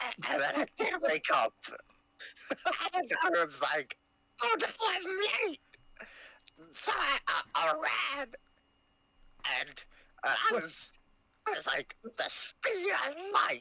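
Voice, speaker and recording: A put-on character voice moves at a very slow pace, broken by long, frequent pauses. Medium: actual play. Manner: servile.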